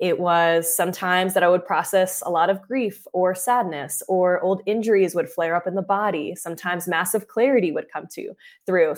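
At a moderate pace, a woman speaks in a normal speaking voice with a medium pitch and fairly even intonation, on a very clean recording with a silent background. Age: 20s. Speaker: breathwork coach. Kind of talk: interview.

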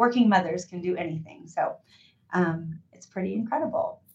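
A woman speaks at a medium pitch, somewhat breathy, with lively intonation. Her tone is animated and energetic. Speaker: company founder and CEO. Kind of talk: interview, casual business chat. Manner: animated, energetic.

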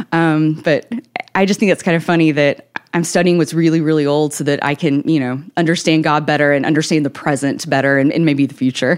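Someone with a Southern US accent talks at a fairly quick pace with very even loudness. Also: woman, very deep, low pitch for a woman. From Tennessee, Nashville area. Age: 30s. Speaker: author. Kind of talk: interview. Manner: energetic.

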